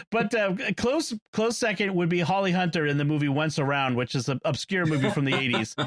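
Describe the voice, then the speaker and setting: With a Boston accent, a man talks at a fairly quick pace in a high voice with lively intonation and very even loudness, over noticeable background noise. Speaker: podcast panelist discussing movies. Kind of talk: casual chat. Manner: hesitant, many fillers.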